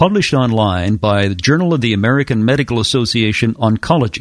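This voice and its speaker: A plain, everyday voice from a man of medium pitch, with lively intonation, a moderate pace, and a very clean recording over a silent background. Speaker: radio host. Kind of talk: interview.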